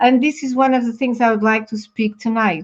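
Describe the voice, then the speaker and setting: Against a quiet background, a woman speaks in a Portuguese accent with fairly even intonation. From Portugal. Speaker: talk show co-host. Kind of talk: casual chat. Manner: halting.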